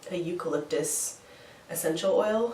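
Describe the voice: A woman speaks at a fairly slow pace with a slightly mellow tone. Audible room echo surrounds her voice.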